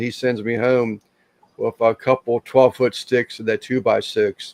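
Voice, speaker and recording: A man of medium pitch speaks in a monotone, flat way at a moderate pace, the sound dry and close with no echo. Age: 60s. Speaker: barbecue grill maker, koi hobbyist. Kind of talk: casual chat.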